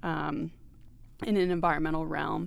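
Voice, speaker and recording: A woman with a fairly low pitch talks at a moderate pace in an ordinary speaking voice. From Maine, US. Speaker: nonprofit development director. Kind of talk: casual interview. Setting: studio.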